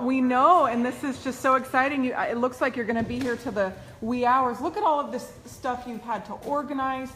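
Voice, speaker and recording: Her tone is enthusiastic as a woman speaks at a moderate pace in a high voice over light background noise. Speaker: online video host. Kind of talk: live video interview. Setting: indoors at event venue. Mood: excited, enthusiastic. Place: meeting room. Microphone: phone near.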